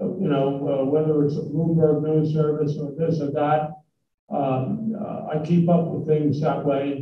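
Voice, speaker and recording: A man speaks at a fairly slow pace in a fairly high, somewhat breathy voice. His intonation is fairly even, and room echo is audible. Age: 80s+. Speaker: business executive giving a talk. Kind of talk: talk with Q&A to students. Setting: college hall with live audience. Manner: halting, many fillers.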